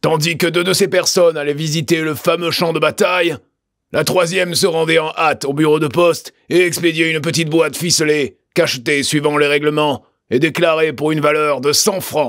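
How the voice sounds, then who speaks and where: Putting on a character voice, a man sounds raspy at a fairly high pitch, with fairly even intonation and a moderate pace. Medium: read story. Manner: measured, deliberate, theatrical.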